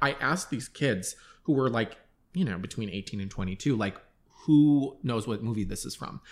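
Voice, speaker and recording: A man's normal speaking voice at medium pitch, with an American accent, lively intonation and a moderate pace, on a very clean recording with a silent background. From Long Island, New York. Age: 30s. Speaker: artist. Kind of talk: casual chat.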